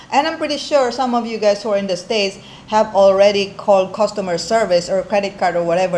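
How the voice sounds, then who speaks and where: A woman with a Filipino accent, medium pitch and ordinary pitch variation. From Philippines. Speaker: lifestyle vlogger. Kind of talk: casual chat. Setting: home, over coffee.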